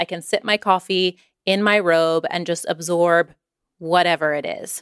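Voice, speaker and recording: A woman with an unremarkable speaking voice talks at a medium pitch with ordinary pitch variation, captured dry and close with no echo on a very clean recording with a silent background. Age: 30s. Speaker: writer and podcast host. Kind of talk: scripted narration.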